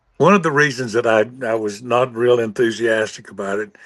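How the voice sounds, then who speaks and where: A man talks at a moderate pace in a medium pitch with a bright, sharp tone. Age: 70s. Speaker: singer-songwriter. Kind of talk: casual chat. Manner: halting, many fillers.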